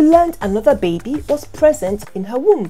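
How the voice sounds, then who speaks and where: The speech goes at a moderate pace. Faint music plays in the background. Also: woman. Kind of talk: educational explainer. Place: home room.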